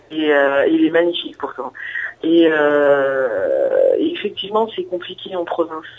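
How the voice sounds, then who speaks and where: A woman's words come out at a very slow pace while noticeable noise fills the background. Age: 30s. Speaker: guest sharing personal story. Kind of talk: testimony. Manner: halting.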